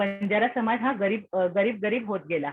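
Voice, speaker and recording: The voice is a plain, everyday voice, belonging to a woman. It sits fairly high, and its pitch variation is ordinary. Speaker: lecturer. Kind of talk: lecture.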